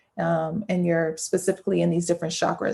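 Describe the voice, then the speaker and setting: A woman's medium-pitched voice with vocal fry and monotone, flat intonation over a quiet background. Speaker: artist and educator giving a keynote. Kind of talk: conference keynote talk. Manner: fast.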